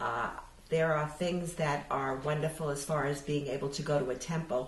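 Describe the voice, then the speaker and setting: Over noticeable background noise, a woman with a very deep, low voice and an American accent speaks at a moderate pace. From New York City. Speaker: oral history interviewee. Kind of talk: interview answer.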